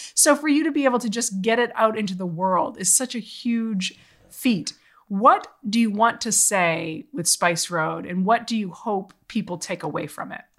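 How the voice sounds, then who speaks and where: The speaker has an unremarkable speaking voice with an American accent. The intonation is lively and the pace moderate. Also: woman, fairly high pitch for a woman. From Boston area. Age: 40s. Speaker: podcast host and journalist. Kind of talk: casual interview chat.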